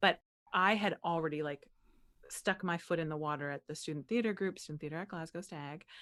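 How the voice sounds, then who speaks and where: In an American accent, a woman with an unremarkable speaking voice talks at a fairly quick pace and a fairly low pitch, with ordinary pitch variation, on a very clean recording with a silent background. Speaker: actress, playwright, voice over artist. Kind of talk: interview answer. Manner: casual, conversational.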